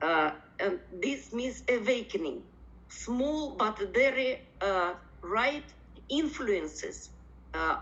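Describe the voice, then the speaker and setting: A woman's fairly high voice with vocal fry and lively intonation, very slow in pace, in a room with audible echo. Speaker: professor. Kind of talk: conference presentation. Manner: halting, many fillers.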